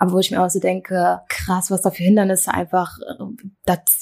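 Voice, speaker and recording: A woman speaks at a fairly quick pace. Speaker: podcast co-host. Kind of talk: conversational discussion. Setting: home kitchen with open window.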